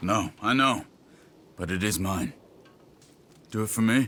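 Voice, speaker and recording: A man uses a put-on character voice with fairly low pitch. His pace is moderate, with ordinary pitch variation. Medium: video game. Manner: calm, firm.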